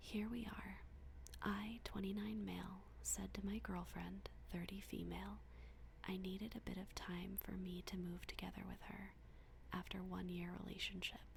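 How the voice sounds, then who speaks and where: The speaker is whispering. The delivery is soft-spoken. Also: woman, moderate pace. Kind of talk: bedtime story reading. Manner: soft-spoken, whispered.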